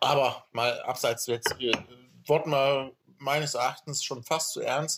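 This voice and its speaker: A man speaks in a normal speaking voice at a fairly high pitch. His pace is fairly slow and his intonation fairly even. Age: 30s. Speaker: podcast host. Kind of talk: casual chat.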